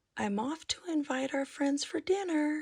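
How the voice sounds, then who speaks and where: Using a put-on character voice, a woman speaks at a high pitch. She keeps a moderate pace. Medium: read story.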